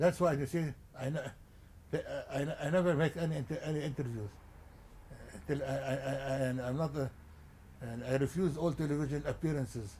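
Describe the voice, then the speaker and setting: With a Lebanese accent, a man speaks at a fairly quick pace yet leaves long, frequent pauses. His fairly high voice is somewhat breathy, with a dark, mellow tone and fairly even intonation. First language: Arabic. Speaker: journalist and publisher. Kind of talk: interview. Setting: at his home. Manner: halting, many repetitions.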